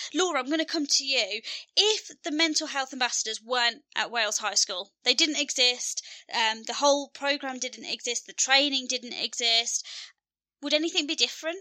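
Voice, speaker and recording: A woman projects a raised, high-pitched voice at a moderate pace with ordinary pitch variation. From Birmingham, England. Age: 30s. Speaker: podcast host and counsellor. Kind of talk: casual chat. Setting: video call. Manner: talkative, rambling.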